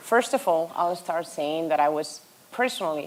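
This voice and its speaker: With a Spanish accent, a woman speaks at a moderate pace and a fairly low pitch, with ordinary pitch variation and noticeable background noise. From Spain. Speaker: hospitality tech executive. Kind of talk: conference panel discussion.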